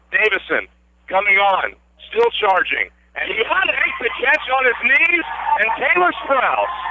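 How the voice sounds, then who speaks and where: Noticeable background noise sits behind a man speaking at a fairly slow pace. He leaves long, frequent pauses. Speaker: radio sports play-by-play announcer. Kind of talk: live radio play-by-play sports broadcast.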